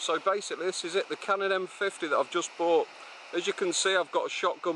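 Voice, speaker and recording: Talking at a very fast pace, a man with a high pitch is heard in dry sound with no echo and light background noise. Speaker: vlogger. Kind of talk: casual vlog chat. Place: waterside. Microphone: phone near.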